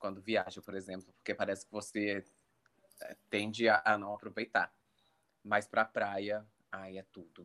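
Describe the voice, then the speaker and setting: In a bright, sharp tone, a man speaks slowly-ish at a fairly low pitch, his intonation monotone and flat, with big swings in loudness and long, frequent pauses. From Brazil, Minas Gerais. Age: 20s. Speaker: advertising and communications professional. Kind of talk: casual chat.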